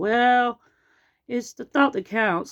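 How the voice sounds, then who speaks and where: A female-sounding put-on character voice comes through at high pitch. The recording is very clean, with a silent background. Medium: read story.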